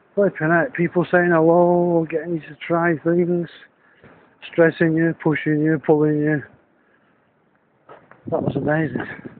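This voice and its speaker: A man's high-pitched voice in a northern English accent, monotone with flat intonation, at a fairly slow pace with long, frequent pauses, a dry sound with no echo and light background noise. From Northern England. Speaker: business consultant and fund manager. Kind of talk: casual video diary talk to camera. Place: street. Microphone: phone near.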